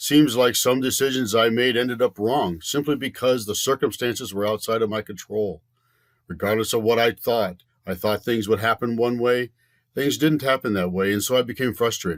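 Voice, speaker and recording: An unremarkable speaking voice from a man, medium in pitch with ordinary pitch variation at a moderate pace, on a very clean recording with a silent background. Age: 60s. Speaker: retirement coach. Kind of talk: informational talk.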